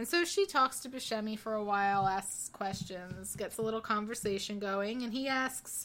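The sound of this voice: An unforced reading voice, pitch shifting in an ordinary manner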